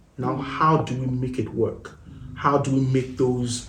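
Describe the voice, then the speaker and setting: Somewhat breathy and medium in pitch, a man's voice carries audible room echo. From Nigeria. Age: 30s. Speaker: married guest sharing relationship experience. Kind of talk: podcast interview.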